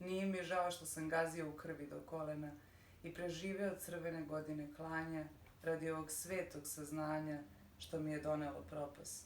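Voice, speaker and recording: A woman speaks at a very deep, low pitch with monotone, flat intonation. Noticeable background noise and audible room echo are present. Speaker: poet and radio editor. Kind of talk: poetry reading.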